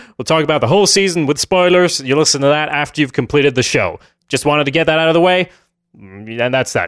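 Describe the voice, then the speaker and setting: The recording is very clean, with a silent background. A man with a fairly high pitch talks at a very fast pace. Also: ordinary pitch variation. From Sweden. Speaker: podcast host. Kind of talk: casual chat.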